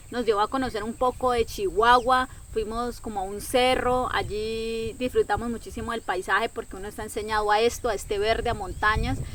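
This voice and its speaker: The woman's voice sits fairly high in pitch. She talks at a fairly quick pace with hardly any pauses. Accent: Colombian. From Colombia, Caquetá. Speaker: travel content creator. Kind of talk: personal storytelling vlog. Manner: animated.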